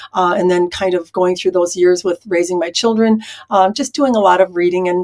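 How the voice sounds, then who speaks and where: Speaking at a fairly quick pace, a woman uses a medium pitch and fairly even intonation. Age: 60s. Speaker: spiritual channeler and Akashic records consultant. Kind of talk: interview conversation. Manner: frequent filler hesitations.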